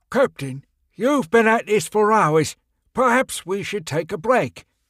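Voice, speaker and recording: Putting on a character voice, a man speaks high and at a fairly slow pace. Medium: read story. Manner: hesitant, deferential.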